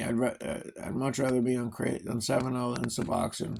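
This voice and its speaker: A man with a Long Island accent talks at a very fast pace. His pitch is medium. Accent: Long Island New York. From Long Island, New York (Suffolk County). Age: 30s. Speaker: vlogger, recovering addict. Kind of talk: casual monologue.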